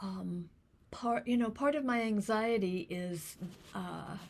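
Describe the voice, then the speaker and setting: A woman's somewhat breathy voice at a medium pitch. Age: 60s. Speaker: spiritual practitioner. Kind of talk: spiritual talk. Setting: church service. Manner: halting.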